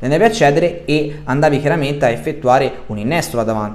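At a fairly quick pace, a man with a fairly high pitch speaks with lively intonation. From Sardinia. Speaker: football YouTuber. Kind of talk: monologue video commentary. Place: home room. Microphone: webcam.

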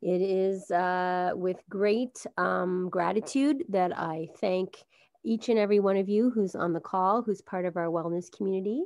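An unremarkable speaking voice from a woman at medium pitch, with ordinary pitch variation and a fairly slow pace. The background is quiet. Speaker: library wellness program host. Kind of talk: welcome announcement. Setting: video call.

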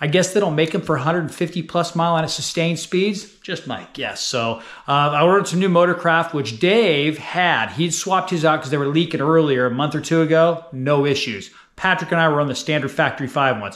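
A man's fairly high, fairly bright voice at a fairly quick pace, with ordinary pitch variation

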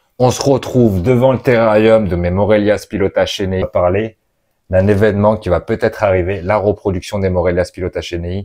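Over a quiet background, a man talks at a fairly quick pace. His fairly low voice has a dark, mellow tone and fairly even intonation. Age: 30s. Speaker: reptile keeper and YouTuber; reptile keeper youtuber. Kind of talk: casual vlog. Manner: hesitant, many fillers. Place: home room. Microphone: lapel.

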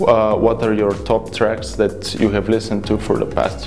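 Clear background music behind a man at a moderate pace. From Bulgaria. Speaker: software developer. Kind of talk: interview answer. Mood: friendly, upbeat. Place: studio. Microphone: lapel.

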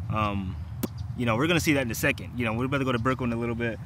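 A man talks at a very fast pace. The sound is dry with no echo, and there is noticeable background noise. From US small town. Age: 20s. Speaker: vlogger. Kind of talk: casual vlog narration. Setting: outdoors. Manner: casual, filler-heavy speech.

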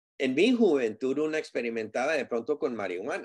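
Moderate-paced male speech in a quiet setting. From US, Southern California. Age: 60s. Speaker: community advocate on drug addiction; guest. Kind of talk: interview. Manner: halting with fillers and repetitions. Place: home room. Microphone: video call.

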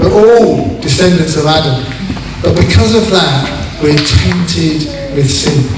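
A man with a fairly high pitch speaks at a fairly slow pace, his pitch swinging very widely. Audible room echo and noticeable background noise surround him. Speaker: pastor. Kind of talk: sermon and baptism service. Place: hall.

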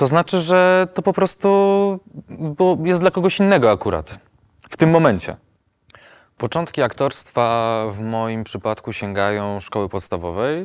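The background is quiet. A man speaks at a fairly slow pace, his pitch swinging very widely. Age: 20s. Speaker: actor and voice-over artist; actor. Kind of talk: testimony. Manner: hesitant with fillers. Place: studio. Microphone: lapel.

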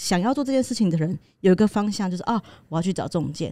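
Over a quiet background, a woman talks at a very fast pace. Her voice has a fairly low pitch and a dark, mellow tone. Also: dry sound with no echo. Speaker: podcast co-host. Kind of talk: casual chat. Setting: studio. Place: studio. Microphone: studio mic.

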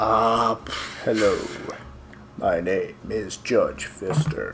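A man speaks in a put-on character voice at a very slow pace. Background noise is clearly heard.

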